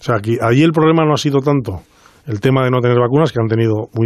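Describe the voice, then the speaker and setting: A man's very fast speech with lively intonation. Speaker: doctor. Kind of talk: radio interview.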